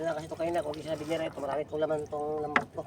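A man talks at a very fast pace with a fairly high pitch. Noticeable background noise sits behind him. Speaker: fishing vlogger. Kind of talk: casual vlog narration.

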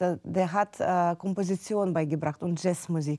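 A woman with a dark, mellow tone speaks at a moderate pace. Her intonation is fairly even, and the background is quiet. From Ukraine, Kyiv. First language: Russian or Ukrainian (speaking German). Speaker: pianist; interview guest. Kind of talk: interview. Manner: halting. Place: studio. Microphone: lapel.

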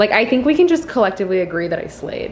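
A woman speaks with very wide swings in pitch. Light background noise sits behind her. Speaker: lifestyle vlogger. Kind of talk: casual vlog chat. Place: home room. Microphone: phone near.

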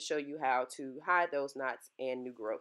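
Against a quiet background, a woman speaks in a very deep, low pitch with fairly even intonation. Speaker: hair tutorial creator. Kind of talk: casual tutorial talk to camera.

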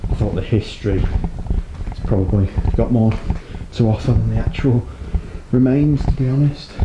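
A man with a fairly low voice speaks at a moderate pace, his pitch varying in an ordinary way over noticeable background noise. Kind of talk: casual vlog narration. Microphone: phone near.

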